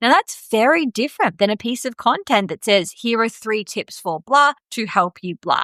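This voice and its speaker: In an Australian accent, a woman talks at a moderate pace with hardly any pauses, her fairly high, bright, sharp voice showing lively intonation in a dry, close sound with no echo. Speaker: podcast host, marketing coach. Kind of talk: podcast monologue, business advice. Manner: casual, conversational.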